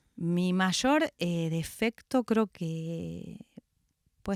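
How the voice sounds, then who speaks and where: With a Rioplatense accent and ordinary pitch variation, the voice comes through a very clean recording with a silent background, in a dry, close sound with no echo. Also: woman. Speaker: actress and theatre director. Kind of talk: radio interview.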